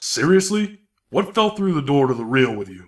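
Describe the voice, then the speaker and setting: A man's put-on character voice, fairly high in pitch, with very wide pitch swings, big swings in loudness and a moderate pace. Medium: audio drama. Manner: crude, impatient, bullying.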